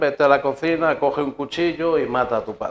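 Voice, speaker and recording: The pace of this man's speech is moderate. He keeps his intonation fairly even. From Spain (León). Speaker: guest preacher giving testimony. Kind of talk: testimony.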